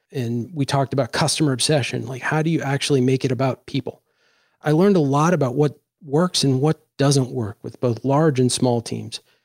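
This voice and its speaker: Fairly high-pitched, a man with an American accent talks at a fairly quick pace in a normal speaking voice with fairly even intonation. The sound is dry and close with no echo, on a very clean recording with a silent background. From Washington, D.C. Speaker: podcast host. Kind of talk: casual chat.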